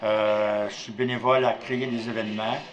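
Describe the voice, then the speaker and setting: Over noticeable background noise and audible room echo, a man speaks at a very slow pace with fairly even intonation. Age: 70s. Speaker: formerly homeless volunteer. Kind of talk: testimony.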